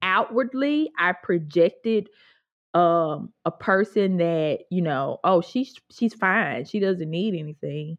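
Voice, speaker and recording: Speaking with a Mississippi accent, a woman uses a medium pitch. Her pace is fairly slow. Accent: Southern US (Mississippi). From US South, Mississippi (Grenada). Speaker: Bible teacher and writer. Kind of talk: casual interview.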